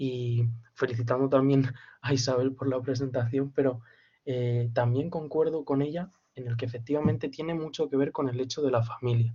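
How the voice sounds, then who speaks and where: Speaking at a moderate pace, a man uses a somewhat breathy voice at a medium pitch with fairly even intonation. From Spain, Castilla-La Mancha (Campo de Criptana). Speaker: student in a literature seminar. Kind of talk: seminar discussion. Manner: halting.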